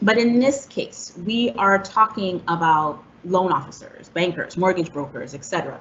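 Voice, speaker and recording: Lively in intonation, a woman uses a plain, everyday voice at a fairly low pitch. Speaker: housing counselor presenter. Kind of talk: presentation.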